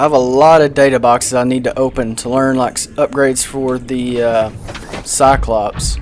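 Noticeable background noise sits under speech that moves at a moderate pace. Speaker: gaming YouTuber. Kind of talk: let's play gameplay commentary. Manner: animated; casual, filler-heavy.

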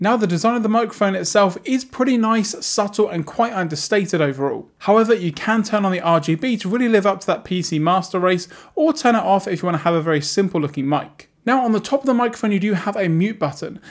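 A man talks at a fast pace with few pauses and a high pitch. His intonation is lively.

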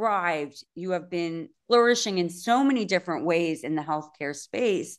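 Against a quiet background, a woman talks in a normal speaking voice at a moderate pace with lively intonation. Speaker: podcast host. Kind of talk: interview conversation.

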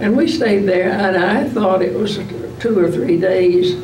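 Noticeable background noise sits behind the voice. A woman speaks at a moderate pace. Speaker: World War 2 nurse. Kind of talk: interview answer. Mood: calm, reflective. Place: meeting room.

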